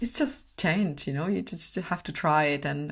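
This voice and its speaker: A woman speaks with a very deep, low pitch, vocal fry and a non-native accent. Her intonation is lively. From Czech Republic. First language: Czech. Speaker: personal brand strategist and photographer. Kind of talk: podcast interview.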